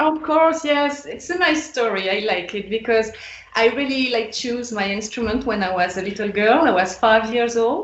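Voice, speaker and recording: With a French accent, the speaker talks at a moderate pace with lively intonation over noticeable background noise and audible room echo. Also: woman, fairly high pitch for a woman. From France. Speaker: electric violinist. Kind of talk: podcast interview.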